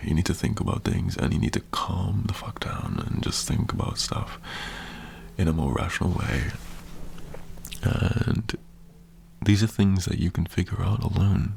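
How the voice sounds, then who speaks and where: A man whispers in a relaxed tone, leaving long, frequent pauses, with noticeable background noise behind him. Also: moderate pace. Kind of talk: motivational talk to camera, asmr. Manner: relaxed, reassuring, conversational.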